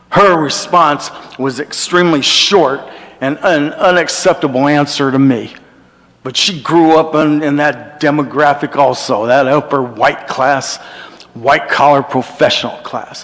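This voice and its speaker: This man talks at a fairly slow pace in a fairly high pitch with fairly even intonation. Noticeable background noise runs behind him. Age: 60s. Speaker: public commenter. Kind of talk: public comment.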